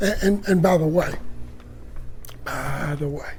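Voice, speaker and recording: This man talks at a very slow pace with a high pitch. His pitch varies in an ordinary way, and the room echo is audible. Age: 70s. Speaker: pastor. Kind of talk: casual video tour. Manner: animated.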